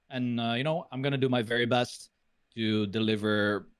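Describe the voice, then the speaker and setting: At a moderate pace, a man with a non-native accent speaks at a fairly low pitch with ordinary pitch variation. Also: very clean recording, silent background. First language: not English. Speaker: retired esports pro and caster. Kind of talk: interview. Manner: hesitant, many fillers.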